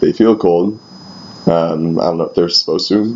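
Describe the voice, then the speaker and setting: Noticeable background noise accompanies a man speaking with fairly even intonation. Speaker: youth pastor. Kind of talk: personal video diary. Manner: hesitant, many fillers.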